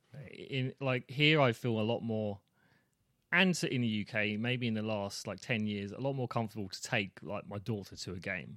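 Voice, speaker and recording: A man's medium-pitched voice with a British accent, moderate pace and ordinary pitch variation, on a very clean recording with a silent background. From England. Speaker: dad guest. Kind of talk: casual chat.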